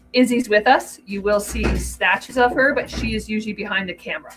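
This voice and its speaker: Music plays behind a woman as she speaks. Her pace is fairly quick and her pitch varies an ordinary amount. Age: 60s. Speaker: boat owner and YouTuber, former police officer. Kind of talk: live stream chat. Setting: boat engine room.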